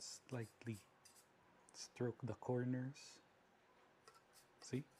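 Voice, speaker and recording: A man speaks in a medium pitch with a dark, mellow tone. His delivery is somewhat breathy and monotone, with flat intonation. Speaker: tech hobbyist vlogger. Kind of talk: tutorial.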